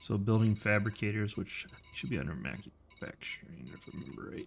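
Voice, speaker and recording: The voice carries vocal fry and very wide pitch swings at a moderate pace. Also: man. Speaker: video game streamer. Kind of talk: live gameplay commentary.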